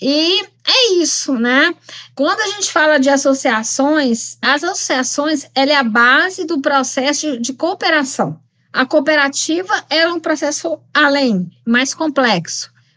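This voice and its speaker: A woman's raised, projected voice, high in pitch and bright, sharp in tone, with lively intonation at a very slow pace. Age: 50s. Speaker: lawyer and rural training instructor. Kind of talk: podcast interview.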